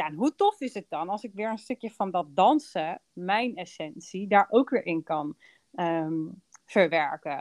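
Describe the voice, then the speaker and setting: A normal speaking voice at a fairly slow pace with lively intonation, dry and close with no echo, over a quiet background. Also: woman, medium pitch for a woman. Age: 30s. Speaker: business coach and podcast host. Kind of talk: casual chat.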